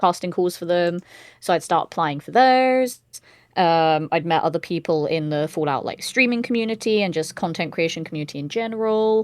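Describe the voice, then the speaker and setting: A woman's fairly low pitch with a British accent, lively intonation and a fairly quick pace against a quiet background. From Britain. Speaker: voice actor and streamer. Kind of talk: casual chat.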